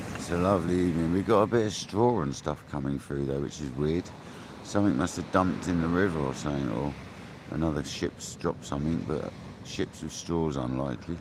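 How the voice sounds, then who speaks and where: Quiet and at a fairly quick pace, a man with an English accent speaks in a very deep, low pitch with ordinary pitch variation. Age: 40s. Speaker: fishing livestreamer. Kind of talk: live stream chat. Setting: outdoors by a river. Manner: mumbling.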